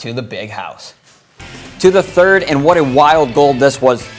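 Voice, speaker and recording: Noticeable background noise surrounds a man talking at a fairly high pitch with an American accent. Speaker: sports anchor and reporter. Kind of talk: sports broadcast reel, game recaps and highlight narration.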